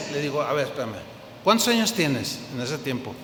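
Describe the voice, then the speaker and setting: Very wide pitch swings come through audible room echo and noticeable background noise. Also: man. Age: old. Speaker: pastor. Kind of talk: sermon.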